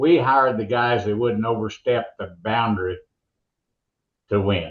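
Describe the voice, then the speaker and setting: A man at a medium pitch with an ordinary speaking voice, ordinary pitch variation and a fairly slow pace. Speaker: monster truck announcer. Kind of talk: interview answer.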